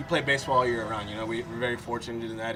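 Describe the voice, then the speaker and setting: Amid noticeable background noise and audible room echo, a man of medium pitch talks at a very fast pace. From Florida, US (Fort Lauderdale), Puerto Rican-Dominican family. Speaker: professional baseball player. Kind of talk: casual interview.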